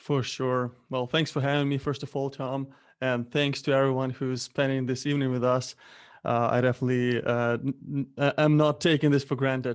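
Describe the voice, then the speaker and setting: A man talks at a moderate pace with a Ukrainian accent. His intonation stays monotone and flat. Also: medium pitch for a man, quiet background. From Ukraine. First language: Ukrainian or Russian. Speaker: Amazon seller, entrepreneur. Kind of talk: interview. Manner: halting.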